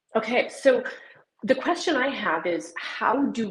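A woman with an American accent, somewhat breathy, with lively intonation. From US Southwest, southwest New Mexico. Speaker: economist and sustainability consultant. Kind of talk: interview.

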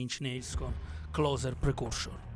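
Somewhat breathy male voice. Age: 40s. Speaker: radio host. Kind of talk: scripted narration; casual chat. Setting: radio studio.

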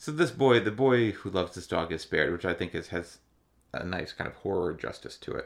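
An ordinary speaking voice from a man, fairly low in pitch, at a fairly quick pace with lively intonation. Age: 30s. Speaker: podcast co-host. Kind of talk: casual chat.

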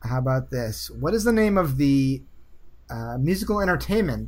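Speaking at a fairly slow pace, a man talks with an American accent. The room echo is audible. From US Northeast. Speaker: game show host. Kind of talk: quiz show.

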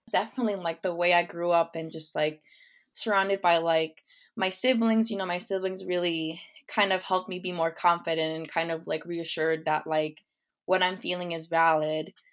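On a very clean recording with a silent background, a woman speaks with an American accent. She has an unremarkable speaking voice, fairly low pitch, fairly even intonation and a moderate pace. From West Chicago, Illinois, US. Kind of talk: interview. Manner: casual, many fillers like 'like' and 'um'.

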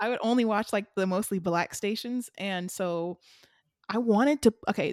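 At a moderate pace with ordinary pitch variation, the voice comes through dry and close with no echo in a very clean recording with a silent background. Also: woman. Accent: American. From US South. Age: 20s. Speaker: podcast co-host. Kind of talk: casual chat.

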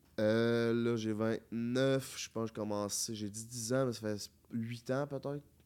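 In a very clean recording with a silent background, a man at medium pitch speaks at a very slow pace in a monotone, flat delivery. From Quebec City area (Charny). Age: 20s. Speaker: YouTuber. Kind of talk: casual chat.

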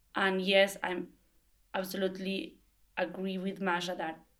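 In a Spanish accent, a woman talks at a medium pitch. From Argentina. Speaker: language assistant and textile designer. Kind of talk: group interview.

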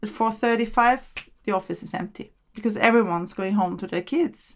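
Speaking with a German accent, a woman talks at a fairly quick pace with ordinary pitch variation. The recording is very clean, the background silent. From Austria, Vienna. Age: 40s. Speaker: immigrant interviewee. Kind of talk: casual interview.

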